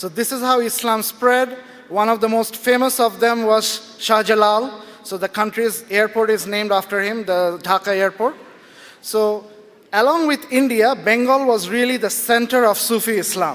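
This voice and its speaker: Loud and high-pitched, a man talks at a moderate pace with fairly even intonation against noticeable background noise. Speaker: writer and blogger. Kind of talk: talk to a live audience.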